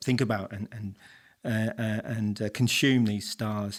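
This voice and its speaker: A man with an English accent speaks at a fairly low pitch and a moderate pace. The recording is very clean, with a silent background. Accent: noticeable English. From England, Coventry. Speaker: professor. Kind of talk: interview. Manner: hesitant, many repetitions.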